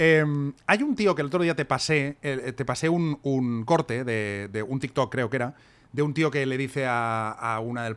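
This man has a normal speaking voice, fairly high for a man, with lively intonation at a moderate pace. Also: very clean recording, silent background. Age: 40s. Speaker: podcast co-host and author. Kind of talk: casual chat.

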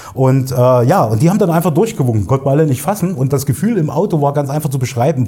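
With a medium pitch, a man's voice moves through very wide pitch swings. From Thuringia, Erfurt (East Germany). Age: 40s. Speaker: digital agency owner, podcast co-host. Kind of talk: casual interview conversation.

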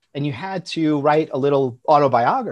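The man has a New York accent and a fairly high pitch. His pitch varies in an ordinary way, and the background is quiet. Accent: New York American. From US Northeast, Long Island, New York. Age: 40s. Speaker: founder of an education tech company. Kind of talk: casual chat.

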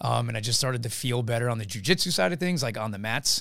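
A man speaks in an unremarkable speaking voice at medium pitch with ordinary pitch variation. The recording is very clean, with a silent background. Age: 30s. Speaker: fitness coach and entrepreneur. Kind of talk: casual chat. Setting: studio.

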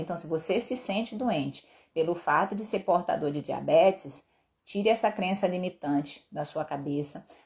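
A somewhat breathy woman's voice at medium pitch, with lively intonation. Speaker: endocrinologist doctor. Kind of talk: live stream health talk. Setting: live stream.

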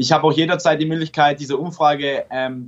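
A normal speaking voice from a man, fairly high in pitch, at a fairly quick pace with fairly even intonation. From Stuttgart, Germany. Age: 20s. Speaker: app developer and startup founder. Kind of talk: casual interview.

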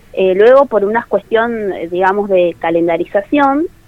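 Her ordinary speaking voice is fairly high-pitched for a woman, and she moves at a moderate pace. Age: 20s. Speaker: tourism graduate. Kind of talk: radio interview. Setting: phone call.

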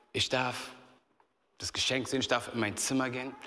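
Audible room echo surrounds a man speaking in an animated tone at a medium pitch and moderate pace. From Berlin, Germany. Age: 30s. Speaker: youth pastor. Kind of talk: sermon. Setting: church stage with audience.

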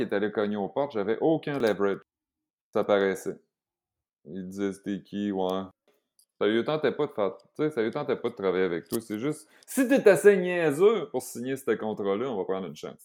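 A man with a Quebec accent at a medium pitch and moderate pace, with very wide pitch swings and big swings in loudness, on a very clean recording with a silent background. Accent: Québécois French. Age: 40s. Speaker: vegan chef and entrepreneur. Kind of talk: casual chat.

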